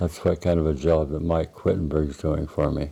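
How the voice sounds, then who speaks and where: A man talks with an American accent. His voice is very deep and low, with a dark, mellow tone. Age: 90s. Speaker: retiree telling his life story. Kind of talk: oral history interview. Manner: halting.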